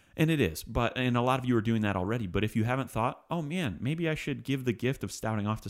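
A man with an American accent talks at a medium pitch and a very fast pace. His intonation is lively. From Livonia, Michigan, US. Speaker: podcast host. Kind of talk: casual chat. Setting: studio.

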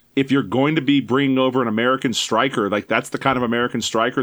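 A man talks at a very fast pace in a medium-pitched voice. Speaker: soccer blogger. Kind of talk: casual chat. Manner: animated.

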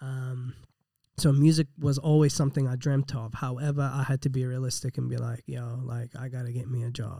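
Recorded dry and close with no echo, a man talks at a fairly quick pace in a flat monotone, his medium-pitched voice somewhat breathy with a dark, mellow tone. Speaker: rapper and gym owner. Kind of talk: casual chat.

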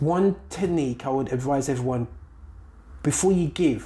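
Someone speaks in a Birmingham accent with an animated tone at a moderate pace. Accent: Birmingham (Brummie) English. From Birmingham, England. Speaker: gospel music producer and promoter. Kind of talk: casual interview chat. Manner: animated, laughing.

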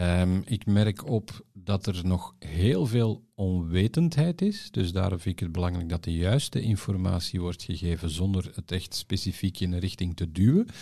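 A man speaks at a fairly slow pace in a very deep, low pitch with ordinary pitch variation. His dark, mellow tone is somewhat breathy against a quiet background. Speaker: podcast host, former advertising professional. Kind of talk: personal interview.

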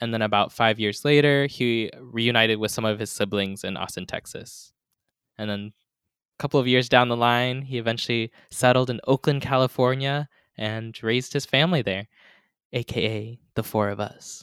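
Recorded very cleanly over a silent background, a man with an American accent speaks in an ordinary speaking voice at medium pitch and moderate pace, with fairly even intonation and a dry, close sound with no echo. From US, San Francisco Bay Area. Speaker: guest host, sibling of the late father. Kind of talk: casual chat.

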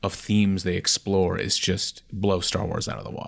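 A normal speaking voice with an American accent moves at a moderate pace. The recording is very clean, over a silent background. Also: man. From Ohio. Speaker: library IT administrator. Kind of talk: casual chat.

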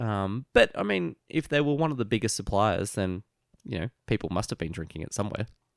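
A man talks fairly quickly in a fairly low voice with an Australian accent. The sound is dry and close, with no echo. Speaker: podcast co-host reviewing TV episodes. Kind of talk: casual chat. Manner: quiet at times, uneven volume; natural, no put-on radio voice.

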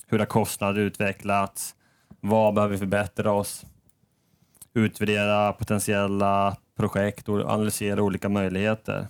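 At a moderate pace, the monotone, flat voice holds a very even loudness, captured dry and close with no echo on a very clean recording with a silent background. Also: man, fairly low pitch for a man. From Sweden, Norrköping. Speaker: finance manager, engineer by training. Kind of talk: casual podcast interview.

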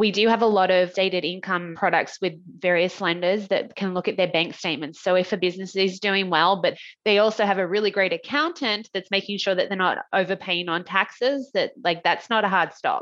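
Woman with an Australian accent, medium pitch, fairly even intonation and very even loudness against a quiet background. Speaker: mortgage broker. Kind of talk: casual interview chat.

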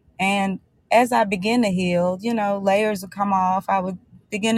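A woman with a somewhat breathy voice talks at a moderate pace, her pitch medium. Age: 40s. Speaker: author and blogger. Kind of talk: interview.

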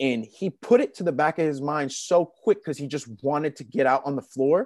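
A man with an American accent and a normal speaking voice talks at a fairly quick pace and fairly high pitch, with ordinary pitch variation, in a dry, close sound with no echo. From Massachusetts, Boston area (Attleboro). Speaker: former college basketball player. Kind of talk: casual interview. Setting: remote call.

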